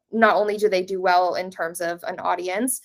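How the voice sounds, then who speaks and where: Using a plain, everyday voice, a woman speaks at medium pitch with fairly even intonation. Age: 20s. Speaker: social media creator. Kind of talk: casual interview.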